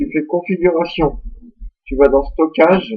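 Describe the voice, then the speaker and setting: This man's voice sits at a high pitch. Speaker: tech tutorial youtuber. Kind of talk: screen-recorded software tutorial. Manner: casual, informal.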